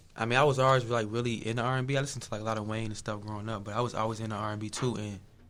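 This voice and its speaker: Audible room echo surrounds a man who talks at a very fast pace in a monotone, flat intonation at medium pitch. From Chicago area, Illinois (Bolingbrook). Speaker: R&B singer. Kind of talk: interview. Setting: radio studio.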